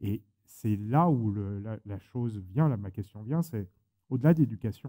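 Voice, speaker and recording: This man's voice is fairly low, with a dark, mellow tone. He goes at a moderate pace with ordinary pitch variation. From France. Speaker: moderator. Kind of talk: panel discussion.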